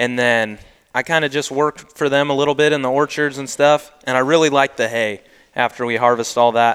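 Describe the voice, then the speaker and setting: A man with an American accent uses a plain, everyday voice at medium pitch and fairly even intonation. He talks at a fairly quick pace, with a dry, close sound and no echo. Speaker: young farmer and duck guide. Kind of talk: casual chat.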